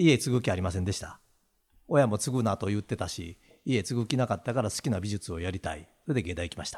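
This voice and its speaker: A man in a Kansai accent with lively intonation, in a very clean recording with a silent background. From Awaji Island, Hyogo (Kansai). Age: 60s. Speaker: business owner. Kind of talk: casual chat.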